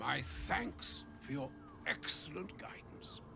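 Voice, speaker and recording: A man speaks in a put-on character voice at a fairly slow pace. Loud background noise sits behind him. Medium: video game. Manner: flowery, grandiloquent.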